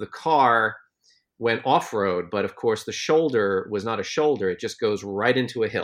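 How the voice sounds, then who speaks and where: A normal speaking voice with an American accent and ordinary pitch variation, against a quiet background. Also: man, medium pitch for a man, moderate pace. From United States. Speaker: journalist, podcast co-host. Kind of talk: casual chat.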